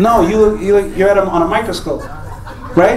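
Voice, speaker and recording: Amid noticeable background noise, a man talks at a fairly quick pace with fairly even intonation. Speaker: stand-up comedian. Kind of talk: stand-up crowd work. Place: stage.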